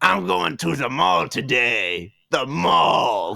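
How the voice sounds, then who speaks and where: Putting on a character voice, a man speaks very slowly at medium pitch. The sound is raspy. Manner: playful, imitative.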